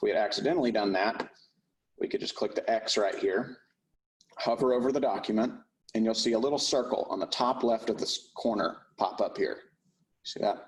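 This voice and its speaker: A man with an American accent at a fairly quick pace, broken by long, frequent pauses. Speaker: real estate software trainer. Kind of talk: tutorial. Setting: class streamed on Zoom.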